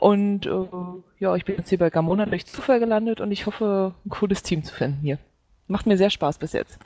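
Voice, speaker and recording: A woman's ordinary speaking voice, medium in pitch and fairly quick, with ordinary pitch variation. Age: 20s. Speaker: gaming site intern. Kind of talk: casual chat.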